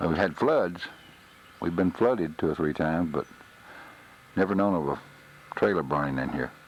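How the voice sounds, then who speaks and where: In a Texas accent, the speaker keeps a moderate pace with ordinary pitch variation and long, frequent pauses against noticeable background noise. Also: man, very deep, low pitch for a man. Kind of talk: home video narration. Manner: subdued.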